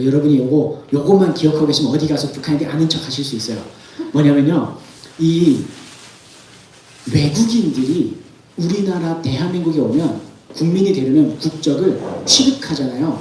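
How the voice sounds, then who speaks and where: Speaking with an animated tone, a man with a fairly high pitch keeps a moderate pace and leaves long, frequent pauses, his pitch varying in an ordinary way. Audible room echo and noticeable background noise are present. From North Korea. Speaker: North Korean defector speaker. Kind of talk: sermon-style testimony talk.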